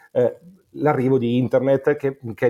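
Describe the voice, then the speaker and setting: This is a man with a medium pitch. He speaks at a moderate pace. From Monza, Lombardy, northern Italy. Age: 40s. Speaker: music promoter and writer. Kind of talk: casual chat. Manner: halting, repeats words.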